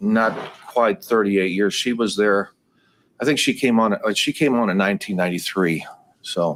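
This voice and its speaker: This is a normal speaking voice at a moderate pace. Pitch varies in an ordinary way, and the loudness stays very even. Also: man, medium pitch for a man. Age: 60s. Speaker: trial witness, business owner. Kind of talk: court testimony. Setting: courtroom.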